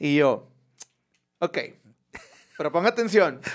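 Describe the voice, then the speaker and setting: A man speaks at a fairly slow pace in an animated tone. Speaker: podcast host. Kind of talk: casual chat.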